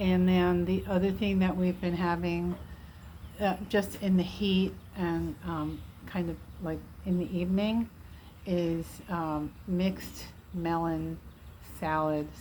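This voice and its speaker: A woman talks at a very slow pace with long, frequent pauses, and audible room echo surrounds her voice. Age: 60s. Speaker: vlogger documenting weight loss. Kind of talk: casual personal update vlog. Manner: relaxed, frequent fillers and hesitations.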